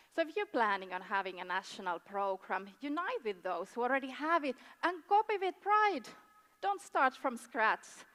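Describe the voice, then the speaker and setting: Speaking at a moderate pace with a Finnish accent, a woman uses a high pitch, very wide pitch swings and a bright, sharp tone. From Finland. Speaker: tourism board official. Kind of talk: conference presentation. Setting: stage with audience. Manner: halting, many fillers.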